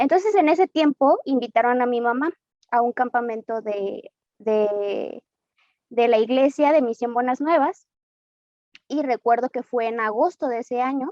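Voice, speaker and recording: A woman talks at a fairly slow pace with a Mexican accent, her high pitch carrying a dark, mellow tone. The sound is dry and close, with no echo. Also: ordinary pitch variation. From Mexico, Guadalajara, Jalisco. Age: 20s. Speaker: church member giving testimony. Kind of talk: testimony. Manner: hesitant, with frequent fillers.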